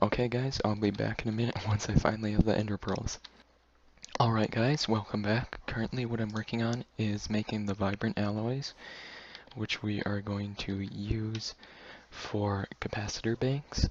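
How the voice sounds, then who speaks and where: Someone talks at a moderate pace with noticeable background noise behind them. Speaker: gaming video creator. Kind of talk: gameplay commentary. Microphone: poor microphone, getting a new one.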